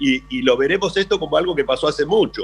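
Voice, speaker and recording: A man talks fairly quickly, his intonation lively. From Argentina. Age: 60s. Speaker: businessman. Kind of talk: radio interview. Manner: halting.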